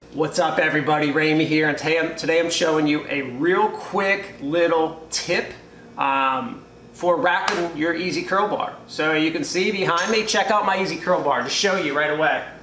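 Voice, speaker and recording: A man speaks with a high pitch. Light background noise and audible room echo come through in the recording. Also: ordinary pitch variation, moderate pace. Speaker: home gym content creator. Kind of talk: casual tutorial. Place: garage. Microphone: camera far.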